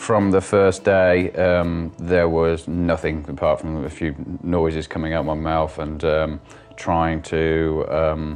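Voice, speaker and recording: Music plays behind a man who speaks very slowly with a very deep, low pitch and monotone, flat intonation. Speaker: stroke survivor with aphasia, business owner. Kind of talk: interview testimony. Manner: halting, many fillers and restarts; word-finding pauses.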